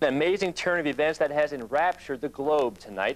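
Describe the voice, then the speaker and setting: Over a silent background in a very clean recording, a man speaks very fast with a fairly high pitch. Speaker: TV news reporter. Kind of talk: TV news report.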